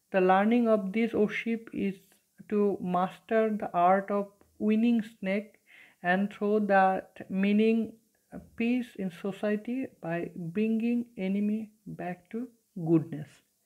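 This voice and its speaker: With a Bengali accent, a woman talks at a very slow pace and with fairly even intonation over a quiet background. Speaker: teacher. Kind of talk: lecture. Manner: hesitant, many fillers. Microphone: phone near.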